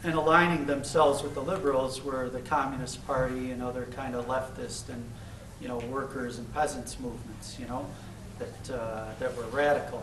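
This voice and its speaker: A man with a Chicago accent speaks with fairly even intonation amid audible room echo and noticeable background noise. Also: medium pitch for a man, moderate pace. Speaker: activist speaker. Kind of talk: Q&A after lecture. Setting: campus lecture with audience. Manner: halting, many fillers.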